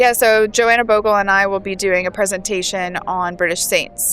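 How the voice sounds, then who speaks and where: A woman's medium-pitched voice with an American accent, fairly even intonation and a moderate pace, over music in the background. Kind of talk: casual interview. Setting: at a festival.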